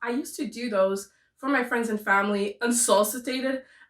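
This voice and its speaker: A woman with a French Canadian accent at a fairly quick pace, with ordinary pitch variation. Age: 20s. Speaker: booktuber. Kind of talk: casual chat. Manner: talkative.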